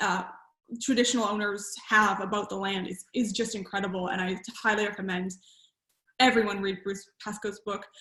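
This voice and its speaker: With a Canadian accent, a woman speaks at a medium pitch in a monotone, flat way. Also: moderate pace. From Canada. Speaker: author. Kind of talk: book launch Q&A. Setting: video call. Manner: hesitant, many fillers.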